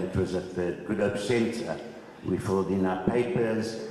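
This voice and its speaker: Amid noticeable background noise and audible room echo, a man speaks in a flat monotone at a fairly low pitch. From South Africa, Cape Town (District Six). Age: 70s. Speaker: former resident and land claimant. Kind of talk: testimony.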